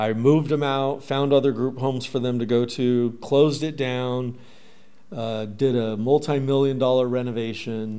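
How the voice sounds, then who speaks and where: This man has an unremarkable speaking voice, medium pitch, fairly even intonation and a moderate pace. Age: 30s. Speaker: recovery advocate and entrepreneur; podcast guest. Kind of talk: casual chat. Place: studio. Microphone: studio mic.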